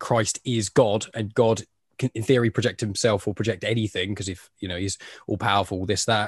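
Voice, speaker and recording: Recorded dry and close with no echo against a quiet background, the speech moves at a fairly quick pace in an English accent. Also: man. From England. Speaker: podcast host. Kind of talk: casual chat.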